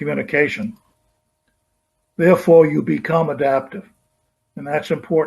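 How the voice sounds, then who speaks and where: A man's fairly high, somewhat breathy voice against a quiet background. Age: 80s+. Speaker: supply chain consultant; presenter. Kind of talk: conference keynote presentation. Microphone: webcam.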